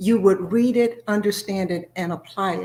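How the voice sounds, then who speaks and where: Somewhat breathy, with a dark, mellow tone, a woman speaks at a moderate pace, a medium pitch and fairly even intonation. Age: 60s. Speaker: author and former school principal. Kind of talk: interview. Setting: video call.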